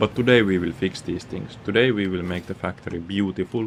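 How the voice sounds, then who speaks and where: Music runs in the background as a man speaks at a moderate pace. His pitch is very deep and low, with fairly even intonation. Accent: Finnish. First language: Finnish. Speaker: gaming streamer. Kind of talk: live gaming stream commentary. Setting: at home.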